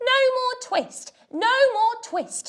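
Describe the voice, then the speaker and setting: A put-on character voice from a woman, squeaky and extremely high in pitch. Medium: read story. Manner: plaintive, mewing.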